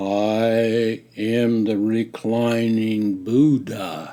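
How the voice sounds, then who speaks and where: A man puts on a character voice of medium pitch. He speaks at a very slow pace with monotone, flat intonation. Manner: calm, soothing.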